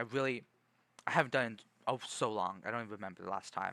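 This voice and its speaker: A man's fairly quick delivery in a bright, sharp tone, with a dry, close sound and no echo. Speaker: streamer. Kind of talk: casual chat. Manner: soft-spoken.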